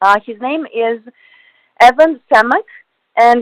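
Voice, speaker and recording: A woman with a Russian accent and ordinary pitch variation, in a dry, close sound with no echo. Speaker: radio host. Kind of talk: radio interview. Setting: studio.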